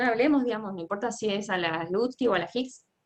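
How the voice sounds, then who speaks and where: Her fairly high voice swings very widely in pitch as the woman talks at a fairly quick pace. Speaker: economics teaching assistant. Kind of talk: lecture. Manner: fast.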